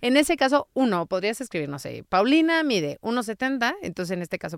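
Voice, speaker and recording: A woman's voice makes very wide pitch swings. The recording is very clean with a silent background, the sound dry and close with no echo. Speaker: linguistic consultant and copy editor. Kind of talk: interview.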